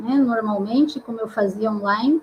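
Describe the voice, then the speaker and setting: A woman with a Paraná accent talks at a moderate pace over noticeable background noise. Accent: Paraná interior. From interior of Paraná, Brazil. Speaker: psychologist and career counselor, live show host. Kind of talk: online live talk, self-introduction.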